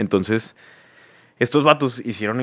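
A man's voice at a moderate pace. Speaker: podcast host and musician. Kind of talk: casual chat.

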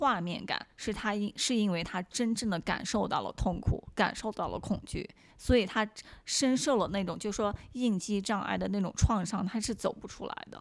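This very clean recording, with a silent background, features a woman at a medium pitch and a moderate pace. Her voice shows vocal fry and ordinary pitch variation. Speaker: actress and model. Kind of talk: casual interview.

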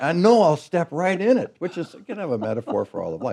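A man with a West Coast accent talks at a very fast pace. His pitch is high. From Oregon, US. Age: 60s. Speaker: pastor. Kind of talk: interview.

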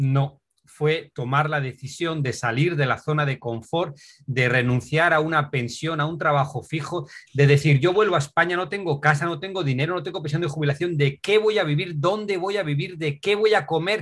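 This is an ordinary speaking voice, a man's, with fairly high pitch and ordinary pitch variation. He moves at a moderate pace. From Asturias, Spain. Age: 50s. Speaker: adventure cyclist and author. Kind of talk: interview.

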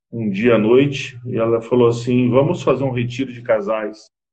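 Somewhat breathy, a man talks at a fairly slow pace with a medium pitch. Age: 50s. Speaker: business consultant and marriage counselor. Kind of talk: interview on a live stream.

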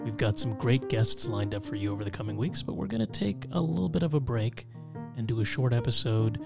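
With music in the background, a man speaks at a fairly quick pace in a calm, soothing tone with lively intonation. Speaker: podcast host. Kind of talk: conversational, warm.

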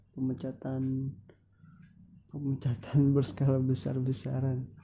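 A man talks at medium pitch and a fairly slow pace, in a dark, mellow tone that is somewhat breathy. His intonation stays monotone and flat. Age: young. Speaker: solo podcaster. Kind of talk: casual monologue.

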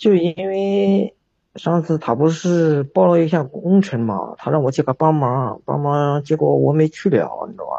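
Speaking with an ordinary speaking voice, a man with a fairly high pitch uses lively intonation at a moderate pace. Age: 30s. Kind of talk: phone-in advice call. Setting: livestream voice link-up.

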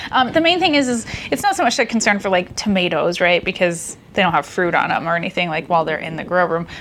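At a fairly quick pace, a woman with an American accent speaks over noticeable background noise. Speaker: podcast host. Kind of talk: casual chat.

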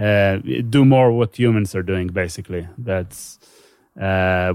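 With an Israeli accent, the speaker talks at a fairly slow pace and fairly even intonation against a quiet background. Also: man. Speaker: neuroscience PhD student and comedian. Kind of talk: casual interview. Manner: halting.

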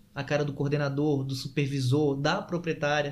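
A man's somewhat breathy voice, fairly high-pitched, at a moderate pace. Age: 30s. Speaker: sales and persuasion trainer. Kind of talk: casual interview.

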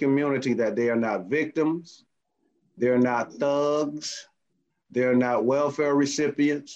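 With an American accent, a man talks in a normal speaking voice, fairly high in pitch and fairly even in intonation. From US South, Miami. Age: 50s. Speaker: community youth activist. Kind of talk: casual discussion. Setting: video call.

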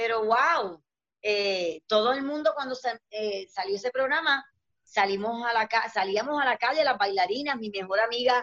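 A woman with a fairly high pitch and ordinary pitch variation talks at a moderate pace in an ordinary speaking voice. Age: 50s. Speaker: dancer and entertainer. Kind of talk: casual chat.

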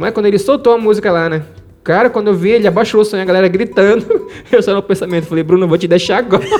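This man has a high-pitched voice with ordinary pitch variation. He talks at a very fast pace. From Pará, Brazil (Marajó island, rural Moaná). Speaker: self-taught musician and music producer. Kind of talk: interview storytelling. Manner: halting, repeats words.

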